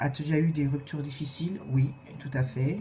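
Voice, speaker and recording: Fairly slow pace over noticeable background noise. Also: woman. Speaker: video blogger. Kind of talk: casual vlog Q&A tag. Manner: hesitant, many filler sounds.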